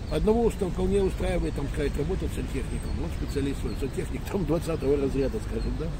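Noticeable background noise and audible room echo surround the recording. A man talks at a fairly quick pace. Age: 60s. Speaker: retired police colonel. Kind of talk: street interview. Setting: outdoors.

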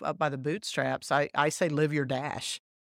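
A woman with an American accent, very deep and low in pitch, fairly even in intonation and fairly slow in pace, in a very clean, dry, close recording with no echo and a silent background. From Texas. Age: 50s. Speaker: tourism marketing executive. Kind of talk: casual interview.

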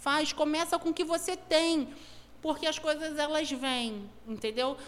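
A woman with a high voice speaks at a fairly slow pace with ordinary pitch variation. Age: 40s. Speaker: entrepreneur and event organizer. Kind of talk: casual interview.

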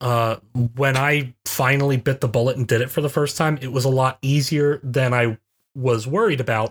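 This man has an ordinary speaking voice at medium pitch. He talks at a moderate pace with fairly even intonation. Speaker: college professor, podcast co-host. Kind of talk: casual banter podcast.

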